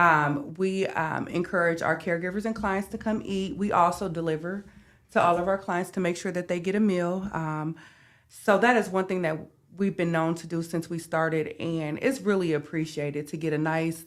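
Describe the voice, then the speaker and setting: A woman with an unremarkable speaking voice, fairly low in pitch, speaks at a moderate pace with fairly even intonation. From US Midwest (North Omaha, Nebraska). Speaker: home care business owner. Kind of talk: podcast interview.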